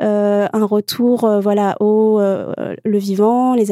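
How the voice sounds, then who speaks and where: A woman speaks at a fairly high pitch with a dark, mellow tone and fairly even intonation, the sound dry and close with no echo. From Morocco. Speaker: children's author. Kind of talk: panel discussion. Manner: hesitant, laughs often.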